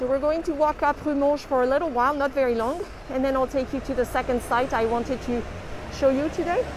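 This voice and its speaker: Against noticeable background noise, a woman speaks at a very fast pace in a high pitch. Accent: French. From France, Toulouse. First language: French. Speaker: tour guide. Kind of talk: live-streamed walking tour. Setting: outdoors on the street. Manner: lively.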